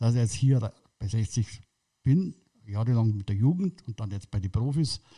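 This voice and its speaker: A man speaks in a dark, mellow tone that is somewhat breathy, with ordinary pitch variation. The recording is very clean and the background silent. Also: dry, close sound with no echo. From Munich, Bavaria. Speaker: football club kit manager. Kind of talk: casual interview. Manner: halting.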